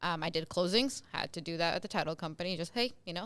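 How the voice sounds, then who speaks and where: A woman with an American accent, fairly low pitch, a bubbly, animated tone and a very fast pace. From New Jersey. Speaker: real estate agent. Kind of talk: podcast interview.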